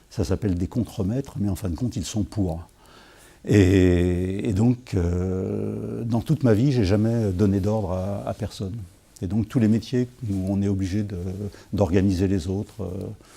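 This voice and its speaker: A man speaks at a fairly slow pace and fairly low pitch, with ordinary pitch variation. His tone is dark and mellow, in a very clean recording with a silent background. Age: 60s. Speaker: writer answering school interview questions. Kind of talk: interview answers. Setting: school visit. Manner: hesitant, many fillers and repetitions.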